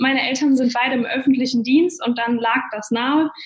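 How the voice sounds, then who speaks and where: With noticeable background noise behind her, a woman speaks in a high pitch at a fairly quick pace, her intonation fairly even. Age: 20s. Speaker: network marketer. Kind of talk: interview.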